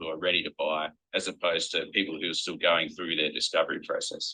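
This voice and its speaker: This man talks at a moderate pace. He speaks in an Australian accent. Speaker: company executive presenting product. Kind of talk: product presentation.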